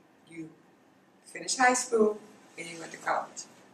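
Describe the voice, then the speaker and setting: A woman with a South Carolina accent talks at a fairly high pitch, with noticeable background noise. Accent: Southern US, South Carolina. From US South, Darlington, South Carolina. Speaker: college alumna, oral history interviewee. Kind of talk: oral history interview.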